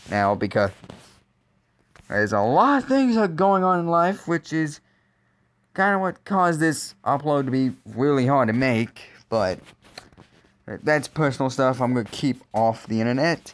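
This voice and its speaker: A man's fairly high voice at a moderate pace, with long, frequent pauses, very wide pitch swings and very even loudness, on a very clean recording with a silent background. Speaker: YouTuber, motorsport commentator. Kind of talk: casual video commentary. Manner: halting, repeated words.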